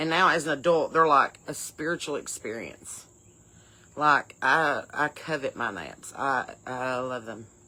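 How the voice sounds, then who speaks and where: A woman with an Appalachian accent speaks in a very deep, low voice with a bright, sharp tone and lively intonation. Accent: Appalachian Southern. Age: 40s. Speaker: comedy podcast host. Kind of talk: casual comedic podcast talk.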